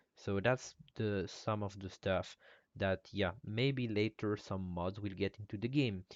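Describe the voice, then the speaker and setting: A man with a non-native accent and a fairly low pitch. His intonation stays fairly even at a fairly slow pace. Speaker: game modder. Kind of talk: live stream Q&A. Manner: halting.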